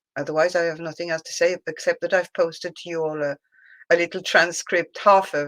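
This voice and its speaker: In a French accent, a woman with a fairly low pitch speaks at a moderate pace, the recording very clean with a silent background and a dry, close sound with no echo. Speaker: discussion group member. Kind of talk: casual chat. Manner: halting.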